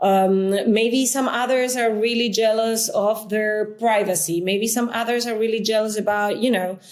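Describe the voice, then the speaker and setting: Music plays behind a woman with a Spanish accent, speaking at a moderate pace with hardly any pauses. Her fairly high voice is flat and monotone, with very even loudness. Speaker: coworking space founder. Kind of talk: interview. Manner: halting, many fillers.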